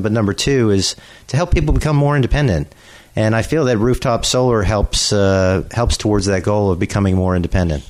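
Here is a man with an American accent and an unremarkable speaking voice. He talks at a fairly quick pace, fairly low in pitch, with ordinary pitch variation. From Pittsburgh, Pennsylvania. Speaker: solar industry professional. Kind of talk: radio interview.

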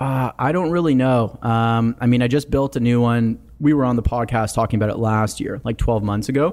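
With a plain, everyday voice, a man speaks at a fairly quick pace with hardly any pauses, a medium pitch and ordinary pitch variation, in a very clean recording with a silent background. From Canada, small town in Ontario. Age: 20s. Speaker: real estate developer. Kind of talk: casual chat.

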